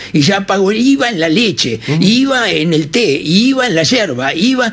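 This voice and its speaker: Noticeable background noise sits behind a man with a high pitch who speaks at a fairly slow pace with very wide pitch swings. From Uruguay. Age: 70s. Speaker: radio journalist and political party founder. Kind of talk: radio interview.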